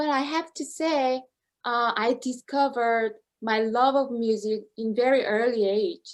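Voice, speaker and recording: A woman speaks with a Korean accent, her pitch high and its variation ordinary. Her pace is fairly slow. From South Korea. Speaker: opera singer. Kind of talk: interview. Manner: halting.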